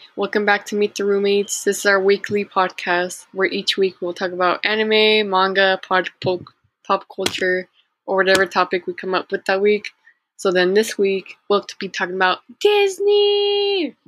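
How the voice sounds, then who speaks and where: A woman speaks in a monotone, flat way. The sound is dry and close, with no echo. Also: medium pitch for a woman, moderate pace. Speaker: podcast co-host. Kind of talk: casual chat.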